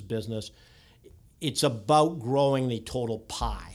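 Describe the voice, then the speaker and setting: This is a man with a Canadian accent and an ordinary speaking voice. His pitch is medium, with ordinary pitch variation. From Canada, near Toronto. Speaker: technology executive. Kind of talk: podcast interview.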